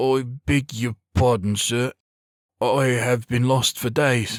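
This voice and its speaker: A man puts on a character voice at medium pitch and a very slow pace. His intonation is monotone and flat, his loudness very even. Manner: stuttering, hesitant.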